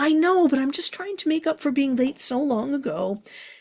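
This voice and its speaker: A woman does a put-on character voice, loud and high-pitched. She moves at a moderate pace with lively intonation. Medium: read story. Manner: loud, fretful, expressive.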